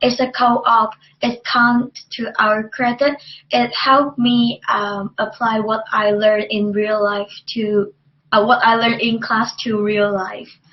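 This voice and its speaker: A woman's fairly high, monotone, flat voice with a Chinese accent. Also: fairly slow pace. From China. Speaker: university student. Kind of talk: student testimonial presentation. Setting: webcast. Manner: halting, many fillers.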